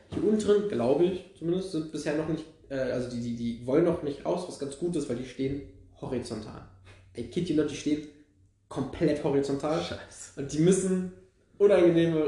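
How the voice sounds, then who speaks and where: Amid audible room echo, a somewhat breathy man speaks at a fairly high pitch and a moderate pace. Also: ordinary pitch variation. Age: 20s. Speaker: podcast co-host, history and archaeology student. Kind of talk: casual chat.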